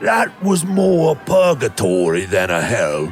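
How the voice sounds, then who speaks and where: Using a put-on character voice, a man speaks at a medium pitch with very wide pitch swings. His pace is fairly slow, and clear background noise is audible. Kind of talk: audio drama performance.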